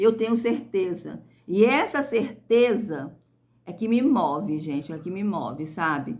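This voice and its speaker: A woman with lively intonation at a very slow pace. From rural interior of Brazil. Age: 50s. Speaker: YouTuber, small farm owner. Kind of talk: casual vlog chat to viewers. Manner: hesitant, repetitive fillers.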